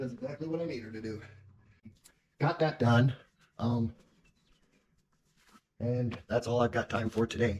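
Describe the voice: With a slightly husky edge, a man speaks in fairly even intonation, broken by long, frequent pauses. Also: medium pitch for a man, fairly slow pace.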